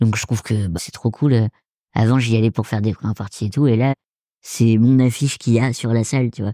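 A man with an ordinary speaking voice talks at a fairly quick pace with fairly even intonation in a very clean recording with a silent background. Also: medium pitch for a man. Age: 20s. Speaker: stand-up comedian. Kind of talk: casual chat.

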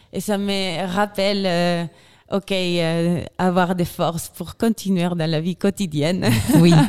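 Very slowly and in a flat monotone, a woman with a Chilean accent speaks at a fairly low pitch in a very clean recording with a silent background. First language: Spanish (speaking French). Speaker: glaciologist and filmmaker. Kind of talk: interview. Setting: festival radio studio.

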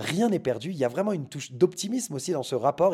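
Very fast and somewhat breathy, a man talks with a dark, mellow tone. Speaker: podcast host. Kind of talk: solo podcast monologue. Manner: hesitant with fillers.

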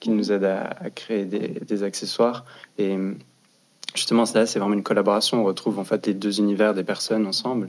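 This man's voice sits fairly low and stays flat and monotone. He talks at a fairly quick pace with long, frequent pauses. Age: 20s. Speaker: fashion design student. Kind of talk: casual panel discussion.

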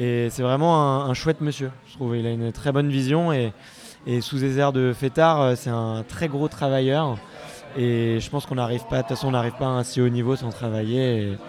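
A man talks at a medium pitch and a moderate pace. His intonation stays fairly even, with music playing in the background. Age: 20s. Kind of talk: casual vox-pop interview. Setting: live event among the public.

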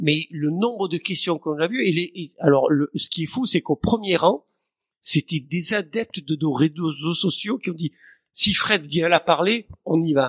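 The man's voice is high, with ordinary movement in its pitch. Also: fairly slow pace, dry, close sound with no echo. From southern France, near Marseille. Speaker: marine conservation foundation founder. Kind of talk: interview. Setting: his office.

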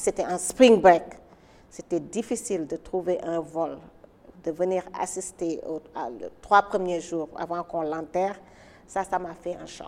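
Delivered at a very slow pace with long, frequent pauses, the speech keeps a fairly even intonation. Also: woman, fairly low pitch for a woman. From Senegal, Dakar. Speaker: hotel entrepreneur. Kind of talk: interview testimony. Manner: halting, repeats words.

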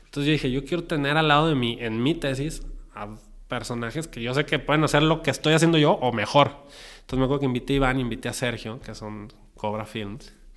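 A man with a Mexican accent talks very fast in a fairly high voice with ordinary pitch variation. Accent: Mexican Spanish (Jalisco). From Mexico, Guadalajara. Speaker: film director and producer. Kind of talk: interview. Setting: recording venue. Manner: animated.

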